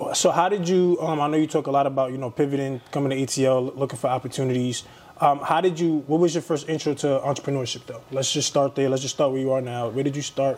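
Very fast speech with hardly any pauses plays over noticeable background noise. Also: man, fairly high pitch for a man, fairly even intonation. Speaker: podcast host. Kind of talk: casual interview conversation.

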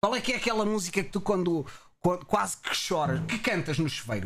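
Talking very fast, a man uses lively intonation in a high pitch. He has a European Portuguese accent. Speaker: Twitch streamer and podcast host. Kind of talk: casual chat. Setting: live stream.

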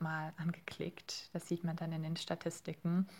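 Captured in a very clean recording with a silent background, a woman speaks at a fairly low pitch. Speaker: master's student, podcast team member. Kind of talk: interview.

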